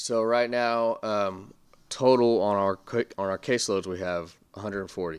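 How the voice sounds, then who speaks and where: A plain, everyday voice speaks at a moderate pace in a very clean recording with a silent background. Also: man, fairly low pitch for a man. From Texas Panhandle, Amarillo. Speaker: youth recovery coach. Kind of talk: interview. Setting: office.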